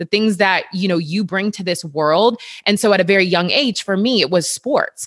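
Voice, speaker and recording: A woman talks in a normal speaking voice. Her pitch is medium and her pace moderate. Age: 30s. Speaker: personal trainer. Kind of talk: casual chat.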